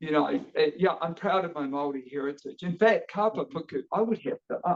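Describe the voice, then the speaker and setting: A man with a New Zealand accent talks very fast in a high pitch. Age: 50s. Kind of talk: casual interview chat. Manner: energetic.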